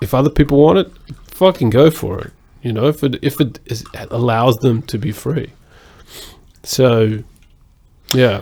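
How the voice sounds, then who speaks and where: With an Australian accent, a man talks at a moderate pace and medium pitch, using ordinary pitch variation and long, frequent pauses. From Australia (Sydney). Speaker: podcast co-host. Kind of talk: casual chat.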